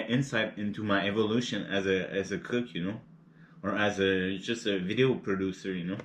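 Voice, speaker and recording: Using a relaxed tone, a man with a non-native accent speaks at a moderate pace and a fairly low pitch with fairly even intonation. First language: not English. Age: 30s. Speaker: cooking and mukbang youtuber. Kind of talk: casual vlog chat while eating. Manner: halting, many repeated words and fillers; relaxed and laid-back.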